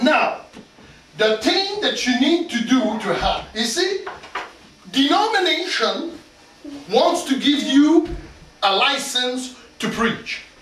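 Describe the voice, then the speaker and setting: A man talks at a very slow pace with very wide pitch swings. Audible room echo and noticeable background noise surround him. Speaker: pastor. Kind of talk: sermon. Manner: loud; animated.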